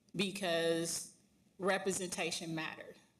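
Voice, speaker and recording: A woman is speaking. The room echo is audible. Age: 40s. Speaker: union leader and bus driver. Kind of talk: panel discussion.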